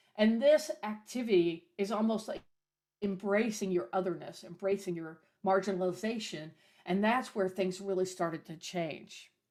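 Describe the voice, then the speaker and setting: Medium pitch from a female speaker, an ordinary speaking voice, moderate in pace and ordinary in pitch variation. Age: 60s. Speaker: minister and folk singer-songwriter. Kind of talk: talk at a service on history.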